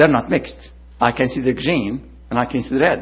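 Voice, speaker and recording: There is vocal fry in this man's voice as he talks at a moderate pace. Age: 60s. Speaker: visiting preacher. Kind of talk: sermon.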